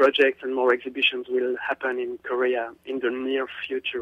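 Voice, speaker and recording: A man with a strong French accent speaks at a medium pitch. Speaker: visual artist. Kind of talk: radio interview answer.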